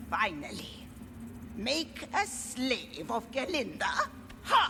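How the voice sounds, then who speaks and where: The voice is a put-on character voice delivered at a very slow pace. Background noise is clearly audible. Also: woman. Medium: video game. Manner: curt, commanding.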